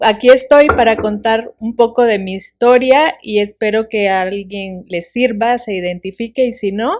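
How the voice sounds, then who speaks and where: A woman speaks at a fairly slow pace in a fairly high pitch, with ordinary pitch variation and hardly any pauses. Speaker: author and podcast guest. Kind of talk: interview, life testimony. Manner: drops her s sounds.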